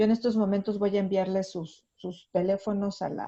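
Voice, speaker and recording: Her tone dark and mellow, a woman talks at a moderate pace and medium pitch. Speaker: university teacher. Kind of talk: online class discussion. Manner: halting.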